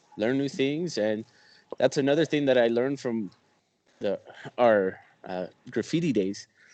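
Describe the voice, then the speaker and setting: Moderate pace, lively intonation and long, frequent pauses, with a non-native accent. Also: man, medium pitch for a man. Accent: non-native English accent, noticeable. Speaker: podcast co-host. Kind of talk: casual chat. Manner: animated.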